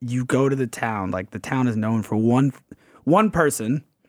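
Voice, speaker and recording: A man talks with a normal speaking voice at a medium pitch and a fairly slow pace. His pitch variation is ordinary, and the sound is dry and close with no echo. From Atlanta, US South. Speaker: sports writer. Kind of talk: casual chat. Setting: live show, art studio.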